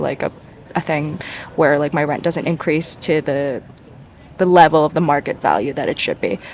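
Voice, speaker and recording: Quiet speech at a fairly quick pace, set against noticeable background noise. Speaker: vlogger, nursing student. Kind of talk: casual vlog talk. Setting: outdoors in a park. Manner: fast.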